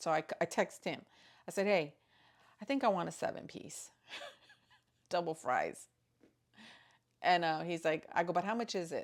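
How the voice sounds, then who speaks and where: A woman's fairly low voice with ordinary pitch variation, moderate pace and long, frequent pauses, on a very clean recording with a silent background. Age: 50s. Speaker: grandmother and stay-at-home mom. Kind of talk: casual talk to camera.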